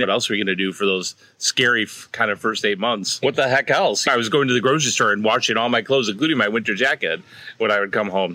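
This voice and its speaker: A man speaks with a Chicago accent. His pace is fairly quick. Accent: Chicago American. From US Midwest, north side of Chicago. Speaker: Irish fiddle player and music teacher. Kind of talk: casual chat.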